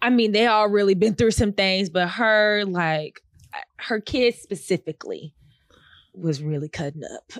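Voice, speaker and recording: In a dry sound with no echo, a woman speaks in an animated tone at a fairly slow pace with ordinary pitch variation. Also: quiet background. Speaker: podcast co-host. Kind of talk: casual chat. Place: studio. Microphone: studio mic.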